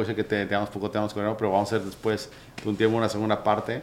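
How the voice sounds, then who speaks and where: A man's fairly low pitch at a very fast pace. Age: 30s. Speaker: podcast host. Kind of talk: interview. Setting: office.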